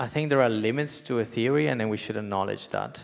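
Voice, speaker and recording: Against a quiet background, a man with a non-native accent speaks with ordinary pitch variation. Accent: non-native, foreign-accented English. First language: not English. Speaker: economist, book contributor; panelist. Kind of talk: panel discussion. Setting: stage with live audience. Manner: halting, many fillers. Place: hall. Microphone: handheld.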